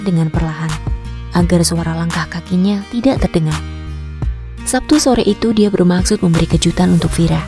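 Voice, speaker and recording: Behind the voice, music is playing. A woman talks at a moderate pace. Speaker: voice over artist. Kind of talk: audiobook narration.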